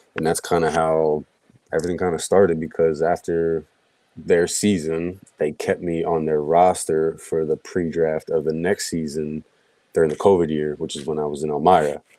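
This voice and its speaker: A man's very deep, low voice, dark and mellow in tone, flat and monotone in intonation, at a moderate pace, with a slight Philadelphia accent. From Philadelphia, US Northeast. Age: 20s. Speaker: hockey goaltender. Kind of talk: podcast interview. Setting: live-streamed podcast.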